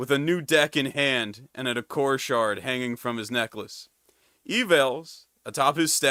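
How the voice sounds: A natural reading voice, pitch varying in an ordinary way, sounds against a quiet background.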